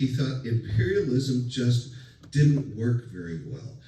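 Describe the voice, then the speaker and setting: There is audible room echo around a man speaking with ordinary pitch variation. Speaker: college lecturer. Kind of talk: lecture. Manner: hesitant, many fillers; loud.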